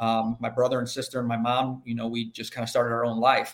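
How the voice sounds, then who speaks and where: In an American accent, this man speaks at a medium pitch. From US Midwest, inner-city Chicago. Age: 50s. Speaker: agriculture insurance professional. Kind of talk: podcast interview. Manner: halting, many fillers.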